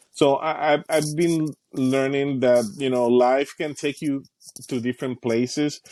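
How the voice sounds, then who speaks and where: A man with a Spanish accent speaks at a fairly slow pace, his fairly high pitch kept fairly even, in a dry, close sound with no echo. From Caribbean, Puerto Rico and Dominican Republic. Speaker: youth program specialist. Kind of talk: interview. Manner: halting, repeats words.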